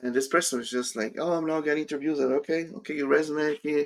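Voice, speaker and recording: A man's fairly high voice at a very fast pace, with ordinary pitch variation. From Brazil. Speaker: career coach. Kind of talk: live stream Q&A.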